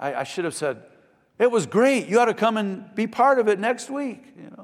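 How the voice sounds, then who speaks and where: A man speaks with a Midwestern American accent at a high pitch. His pace is moderate. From US Midwest, Michigan. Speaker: pastor. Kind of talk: sermon. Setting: church.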